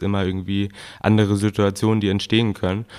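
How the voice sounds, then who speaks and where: A man speaks at a fairly quick pace with a fairly low pitch. His intonation is monotone and flat, on a very clean recording with a silent background. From northern Germany, Gülzow. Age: 20s. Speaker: shop co-owner. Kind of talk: casual interview.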